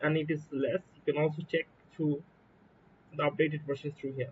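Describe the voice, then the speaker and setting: The man speaks with a Bangladeshi accent. His pitch is fairly high. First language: Bengali. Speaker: software developer. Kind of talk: coding tutorial walkthrough. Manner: casual, hesitant with fillers.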